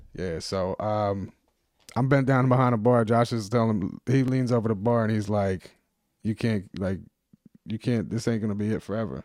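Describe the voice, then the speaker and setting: A man with an American accent has a plain, everyday voice. His pitch is fairly low, with ordinary variation, at a moderate pace. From New Jersey (South Jersey, Winslow/Sicklerville). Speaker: magazine publisher. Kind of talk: casual chat. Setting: studio.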